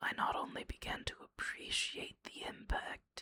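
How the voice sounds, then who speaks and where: Someone whispers at a very slow pace. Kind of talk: personal reflective monologue about a book. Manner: whispered.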